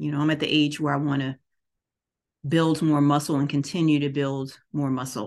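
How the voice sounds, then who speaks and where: At a moderate pace, a woman talks in a monotone, flat delivery with a very deep, low pitch. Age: 50s. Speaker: podcast host and wellness/yoga teacher. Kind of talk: casual monologue.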